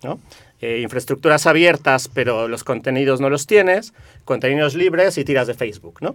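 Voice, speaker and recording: Speaking with a Mexican accent, the voice moves at a moderate pace with lively intonation. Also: man, fairly high pitch for a man. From Mexico. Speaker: community network activist. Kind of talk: radio interview.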